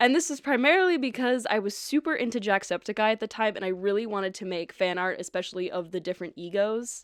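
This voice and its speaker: Lively intonation marks an ordinary speaking voice that goes at a fairly quick pace. The background is silent and the recording very clean. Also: woman. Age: 20s. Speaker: artist and cosplayer content creator. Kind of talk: casual vlog chat.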